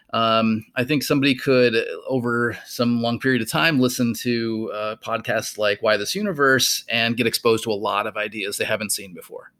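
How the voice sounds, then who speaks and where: A man speaks in a bright, sharp tone at a medium pitch and a moderate pace. His intonation is fairly even, with hardly any pauses. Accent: American. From US Midwest, rural Minnesota. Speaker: physics professor and podcast co-host. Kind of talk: casual chat.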